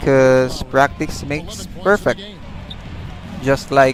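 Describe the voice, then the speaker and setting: A man at medium pitch with fairly even intonation, music in the background. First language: not English. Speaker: gaming livestreamer. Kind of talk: live gameplay commentary. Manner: halting.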